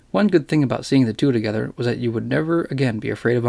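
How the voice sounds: The voice heard here is a natural reading voice.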